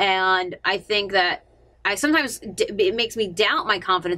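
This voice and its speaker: The recording is very clean, with a silent background. The tone is bright and sharp, and the pitch swings very widely. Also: woman. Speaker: radio personality and vlogger. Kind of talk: personal confessional vlog. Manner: fast; halting, many fillers.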